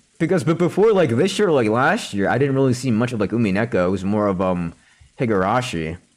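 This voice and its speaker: Loud and at a fairly quick clip, a man speaks at medium pitch with very wide swings up and down. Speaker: video game streamer. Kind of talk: live game stream chat with reading aloud. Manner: casual, filler-heavy.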